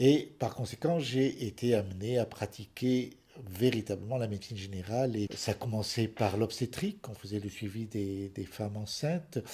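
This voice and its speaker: A somewhat breathy, dark, mellow voice at a fairly slow pace with ordinary pitch variation. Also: man. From France, Paris suburbs. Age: 70s. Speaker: retired general practitioner. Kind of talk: interview testimony.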